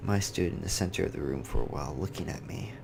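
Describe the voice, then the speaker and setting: A soft-spoken man talks at a fairly quick pace in a very deep, low voice. Music plays in the background. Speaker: gaming YouTuber. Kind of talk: reading aloud.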